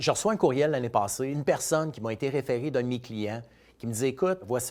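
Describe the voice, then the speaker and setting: A man speaks at a fairly quick pace. His voice is medium in pitch with ordinary pitch variation. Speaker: financial advisor. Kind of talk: casual storytelling monologue.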